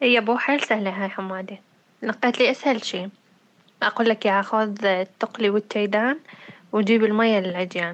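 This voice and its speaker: A woman speaks at a moderate pace with fairly even intonation. Hers is a normal speaking voice. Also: fairly high pitch for a woman. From Syria, Deir ez-Zor city. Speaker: podcast co-host. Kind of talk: casual chat.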